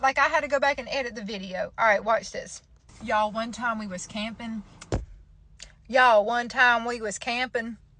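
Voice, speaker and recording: With a Southern US accent, a woman speaks at a moderate pace in a playful, bright, sharp tone, her fairly high pitch held to fairly even intonation amid big swings in loudness. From Georgia, US. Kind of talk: casual talk to camera. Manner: chatty, playful.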